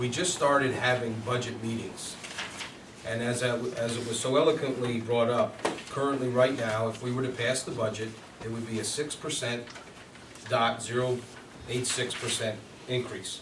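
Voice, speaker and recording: A man talks with fairly even intonation, leaving long, frequent pauses. Room echo is audible, and there is noticeable background noise. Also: medium pitch for a man, moderate pace. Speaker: village board member. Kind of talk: public meeting. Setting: village board meeting.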